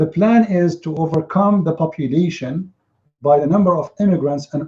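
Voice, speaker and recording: With a Middle Eastern accent, a man talks at a moderate pace in a fairly high pitch, his dark, mellow tone showing ordinary pitch variation. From Syria. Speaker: religious commentator. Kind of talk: opinion monologue. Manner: animated.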